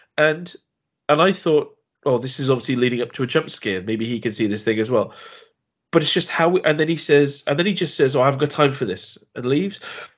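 Speaking with an English accent, a man with a fairly high pitch moves at a fairly quick pace with lively intonation. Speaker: film podcast co-host. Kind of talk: casual chat.

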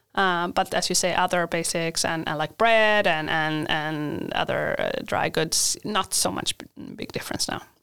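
On a very clean recording with a silent background, a bright, sharp tone in a Swedish accent moves at a moderate pace with hardly any pauses and ordinary pitch variation. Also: woman. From Sweden. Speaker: university international coordinator. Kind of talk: interview. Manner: halting.

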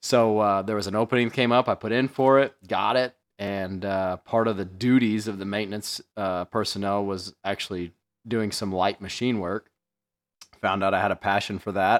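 In a dry, close, very clean recording with a silent background, a man with a fairly low voice talks at a moderate pace with fairly even intonation. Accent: Midwestern American. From US Midwest, central Illinois. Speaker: podcast host, tool dealer. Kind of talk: casual chat.

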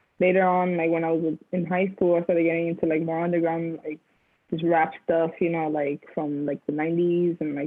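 Speaking at a moderate pace, a woman with an American accent has a fairly low pitch. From New Jersey (Union City), Dominican family. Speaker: music producer. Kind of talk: interview. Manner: hesitant, many fillers.

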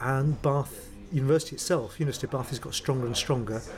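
The speech comes at a very fast pace with ordinary pitch variation. Noticeable background noise runs underneath. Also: man. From North London. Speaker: professor of materials chemistry. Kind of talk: interview.

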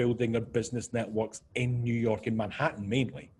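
A man with a Scottish accent speaks at medium pitch and a moderate pace. His voice is somewhat breathy. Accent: Scottish, noticeable to listeners. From Scotland. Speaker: business consultant. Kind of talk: podcast interview.

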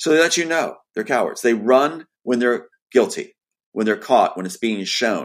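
The voice has lively intonation, on a very clean recording with a silent background. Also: man, medium pitch for a man. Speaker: screenwriter. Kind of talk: casual chat. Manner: fast.

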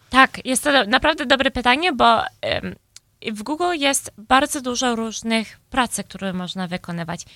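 A woman with a high pitch and a bright, sharp tone, recorded very cleanly against a silent background. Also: lively intonation, moderate pace. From Chicago, US, Polish-speaking home. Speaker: tech employee and conference speaker. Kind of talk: interview. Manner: halting, many fillers.

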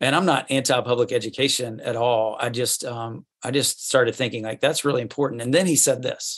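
An ordinary speaking voice with ordinary pitch variation talks at a fairly quick tempo, and the background is quiet. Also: man, medium pitch for a man. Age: 40s. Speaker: school head and youth ministry author. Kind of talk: casual interview. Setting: video call.

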